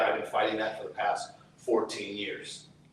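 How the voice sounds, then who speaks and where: Moderate pace, with audible room echo and noticeable background noise. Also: man. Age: 60s. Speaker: activist, brother of a prisoner. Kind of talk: testimony. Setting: outdoors.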